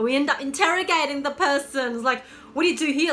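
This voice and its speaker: A woman projects a raised voice at a high pitch with ordinary pitch variation. She speaks at a fairly quick pace over noticeable background noise. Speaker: lifestyle coach, vlogger. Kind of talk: casual advice vlog. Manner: animated; halting, repeats words.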